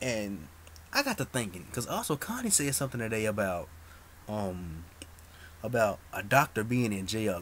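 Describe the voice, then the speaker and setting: A quiet man's voice, fairly low in pitch. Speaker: soap opera vlogger. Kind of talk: casual chat. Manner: low, quiet voice; halting, many fillers.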